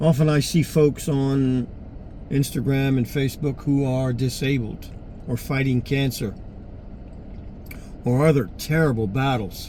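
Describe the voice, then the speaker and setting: A man with a medium pitch and fairly even intonation talks at a fairly slow pace with long, frequent pauses over noticeable background noise. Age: 60s. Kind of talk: personal appeal monologue. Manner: halting.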